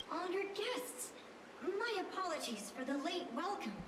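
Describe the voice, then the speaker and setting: This put-on character voice sits at an extremely high pitch, with loud background noise and a clear echo around it. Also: moderate pace. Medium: video game. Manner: courteous, knowing.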